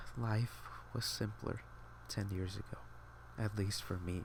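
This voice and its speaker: Quiet and somewhat breathy, a man with a very deep, low pitch speaks at a very slow pace with very wide pitch swings. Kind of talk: casual talk to camera. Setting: home, quiet room with air conditioning hum. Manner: quiet, subdued, reflective.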